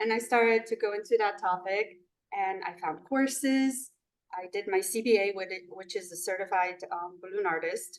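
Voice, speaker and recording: Speaking at a moderate pace with a Polish accent, a woman shows ordinary pitch variation. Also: medium pitch for a woman. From Poland. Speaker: balloon artist and business owner. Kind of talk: interview. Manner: halting, with fillers.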